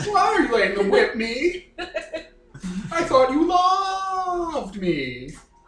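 Putting on a character voice with an extremely high pitch, a man speaks at a fairly slow pace with long, frequent pauses and a slight echo. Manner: whiny, pleading.

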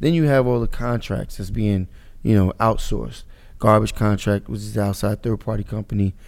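A man with an American accent, fairly low in pitch, at a fairly quick pace. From Paterson, New Jersey. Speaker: city councilman and mayoral candidate. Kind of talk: interview conversation.

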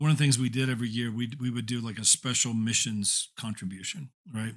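In an American accent, a man with an unremarkable speaking voice talks at a moderate pace and medium pitch with ordinary pitch variation, on a very clean recording with a silent background. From Indiana, US Midwest. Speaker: former church staff leader, now in real estate. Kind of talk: casual interview conversation.

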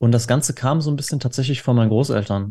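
This man's dark, mellow tone comes with ordinary pitch variation in a very clean recording with a silent background. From Dortmund, Ruhr area, Germany. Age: 20s. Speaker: cookbook author, gamer. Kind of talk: casual chat.

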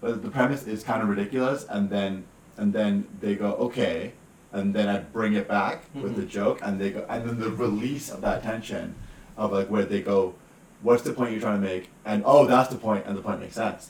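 Fairly quick delivery with fairly even intonation in a plain, everyday voice. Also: man, fairly low pitch for a man. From Western Canada, British Columbia. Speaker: comedian. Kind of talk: casual chat.

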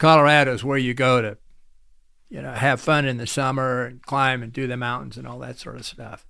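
A man with an American accent speaks at a fairly quick pace and medium pitch in a monotone, flat intonation. His loudness swings widely. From US Midwest (Nebraska). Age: 80s+. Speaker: author and lawyer. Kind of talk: casual interview.

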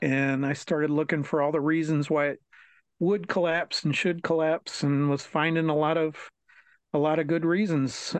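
Against a quiet background, a man with an American accent speaks at a moderate pace in a fairly high pitch. His intonation is monotone and flat, and the sound is dry and close with no echo. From Maryland, near Washington DC. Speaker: author. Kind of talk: reading aloud; interview. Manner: halting, many fillers.

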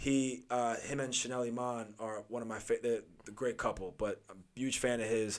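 Using a plain, everyday voice, a man with an American accent talks at a moderate pace and medium pitch with fairly even intonation. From Long Island, New York. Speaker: actor and TV personality. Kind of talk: casual podcast interview.

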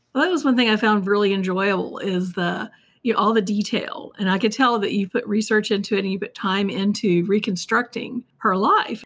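A woman talks at a fairly quick pace in a fairly high pitch, her voice somewhat breathy. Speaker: interviewer. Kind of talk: interview.

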